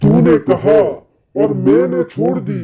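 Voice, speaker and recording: Here a man performs a put-on character voice. His pitch sits at a medium level. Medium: read story. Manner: cackling, taunting.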